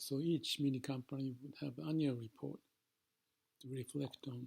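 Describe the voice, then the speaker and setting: A man's somewhat breathy voice stays at medium pitch, its intonation fairly even. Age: 70s. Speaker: organizational transformation consultant. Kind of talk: reflective monologue to camera. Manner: calm, slow, contemplative.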